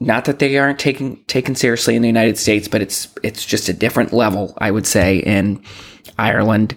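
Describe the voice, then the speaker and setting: Using an ordinary speaking voice with an American accent, a man of medium pitch talks at a fairly quick pace with ordinary pitch variation. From Boston. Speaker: podcast host. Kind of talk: solo podcast monologue.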